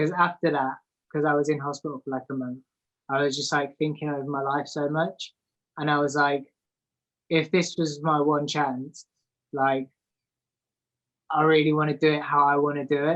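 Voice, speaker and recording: A man's fairly high voice, monotone and flat, at a moderate pace with long, frequent pauses. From England, moved around north and south. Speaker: artist. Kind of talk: casual interview. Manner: hesitant, many fillers.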